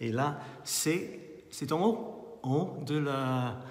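A man speaks with a Scottish accent. Room echo is audible. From Scotland. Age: 50s. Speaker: artist and photographer. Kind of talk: guided tour of his exhibition. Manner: halting. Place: hall. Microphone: phone near.

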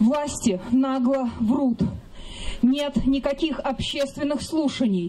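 Speaking at a very slow pace, a woman uses a high pitch with ordinary variation. Light background noise can be heard. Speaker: rally organizer; speaker. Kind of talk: rally speech. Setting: outdoors. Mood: indignant. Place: open country.

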